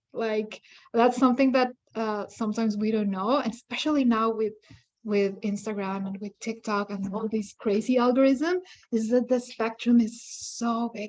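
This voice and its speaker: A woman with a non-native accent speaks at a fairly high pitch and a moderate pace. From outside Canada, newcomer. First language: not English. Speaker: independent curator. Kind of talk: workshop discussion.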